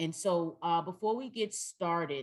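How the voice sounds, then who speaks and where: The voice moves at a moderate pace. Its pitch variation is ordinary. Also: woman. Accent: Southern US. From North Carolina, US South. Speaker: trainer. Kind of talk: training workshop. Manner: loud.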